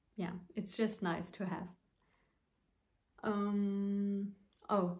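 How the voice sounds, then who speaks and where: A somewhat breathy woman's voice with audible room echo. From Luxembourg. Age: 20s. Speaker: knitting podcaster. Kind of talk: casual vlog talk to camera. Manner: hesitant, many fillers.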